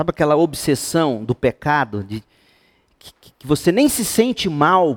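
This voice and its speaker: In a dry, close recording with no echo, a man with a fairly high pitch talks in an animated tone at a fairly slow pace, with very wide pitch swings, big swings in loudness, and long, frequent pauses. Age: 50s. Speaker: pastor. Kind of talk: Bible study teaching to youth group.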